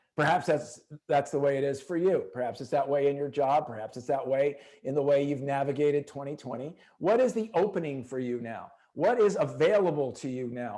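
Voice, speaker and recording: Speaking at a fairly quick pace, a man with a fairly high pitch and ordinary pitch variation has a plain, everyday voice. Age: 60s. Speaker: executive coach and keynote speaker. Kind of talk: webinar talk. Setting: online webinar.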